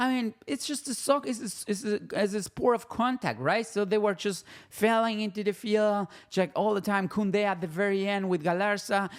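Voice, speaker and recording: The pace is moderate throughout. The talking comes in a Spanish accent. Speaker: football YouTuber. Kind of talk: casual match commentary vlog. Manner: halting, many fillers and restarts.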